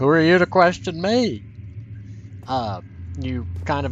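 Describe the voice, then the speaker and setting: A man talks at a fairly slow pace with audible room echo and noticeable background noise. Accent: Southern US. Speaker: let's play gamer. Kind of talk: gameplay commentary.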